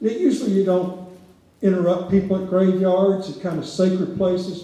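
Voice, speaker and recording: A man speaks with a high voice. Audible room echo surrounds him. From rural Louisiana. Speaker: historian. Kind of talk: public lecture. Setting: theater stage with audience. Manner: conversational, with frequent fillers.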